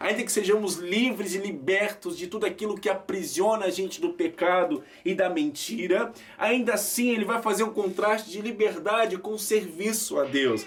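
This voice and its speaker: This man's voice sits high, with lively intonation at a moderate pace. Background noise is noticeable. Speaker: preacher. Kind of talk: sermon.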